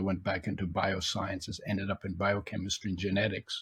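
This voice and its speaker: A man speaks in a somewhat breathy, fairly low voice. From Germany. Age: 80s+. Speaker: author and nutrition expert. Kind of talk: interview. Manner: halting.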